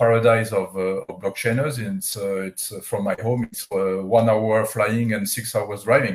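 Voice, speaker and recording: A man with a French accent speaks at a medium pitch and a moderate pace. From France. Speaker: company CEO. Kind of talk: interview. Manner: halting, many fillers.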